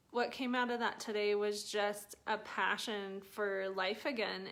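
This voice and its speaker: A woman is speaking. Her pace is very slow. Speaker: personal development vlogger. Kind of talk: casual live stream talk. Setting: live video stream.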